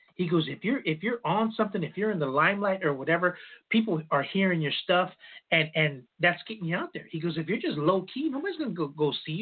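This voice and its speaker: Fairly quick speech from a man with a high pitch and ordinary pitch variation. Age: 50s. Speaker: wrestling radio show host. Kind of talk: casual chat.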